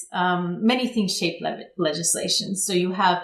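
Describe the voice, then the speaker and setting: In a normal speaking voice, a woman with an American accent talks at a medium pitch and a moderate pace. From United States. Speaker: public affairs consultant. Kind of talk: interview.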